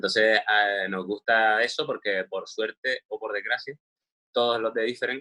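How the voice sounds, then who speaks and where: At a fairly slow pace, a man speaks with a Canarian accent. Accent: Canarian Spanish, marked. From Canary Islands, Spain. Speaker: screenwriter and director. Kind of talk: interview. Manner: hesitant, with fillers.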